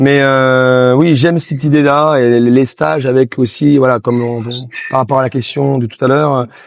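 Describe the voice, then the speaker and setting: Moderate pace and fairly even intonation over noticeable background noise. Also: man, medium pitch for a man. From Haute-Savoie, France. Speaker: table tennis coach. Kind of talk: interview. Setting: on location in Chamonix. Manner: halting, many fillers.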